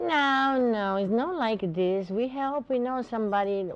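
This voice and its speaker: A woman is speaking. She has a Portuguese accent. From Brazil. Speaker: botanica shop owner. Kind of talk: TV interview.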